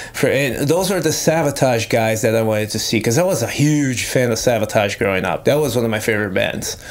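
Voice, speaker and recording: Over noticeable background noise, a man talks at a fairly quick pace with hardly any pauses. His tone is animated and his intonation lively. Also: medium pitch for a man. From Brazil. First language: Portuguese. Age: 30s. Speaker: metal guitarist. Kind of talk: casual chat.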